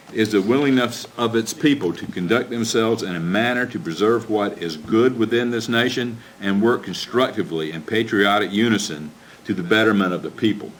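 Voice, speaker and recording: Over noticeable background noise, a man speaks at a fairly quick pace. His pitch is medium, with ordinary pitch variation. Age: 60s. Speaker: county commissioner. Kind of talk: public meeting speech, partly reading a prepared statement. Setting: county commission meeting. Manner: formal.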